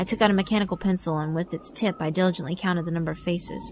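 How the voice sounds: A woman talks at a fast pace with fairly low pitch and ordinary pitch variation. Her tone is slightly mellow.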